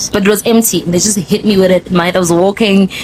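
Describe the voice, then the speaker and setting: A woman with a Zulu accent talks at a very fast pace against noticeable background noise. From South Africa, Zulu-speaking KwaZulu-Natal. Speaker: podcast host. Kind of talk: casual chat. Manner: animated.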